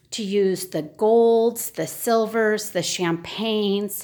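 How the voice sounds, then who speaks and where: Very slow pace from a woman. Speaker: home decor video creator. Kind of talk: home tour walkthrough. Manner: hesitant fillers.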